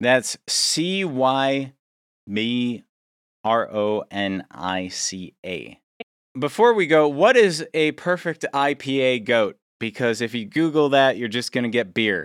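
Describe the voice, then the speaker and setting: A man's medium-pitched, playful voice at a very slow pace, with lively intonation on a very clean recording with a silent background. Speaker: podcast host. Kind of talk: casual chat. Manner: joking, playful.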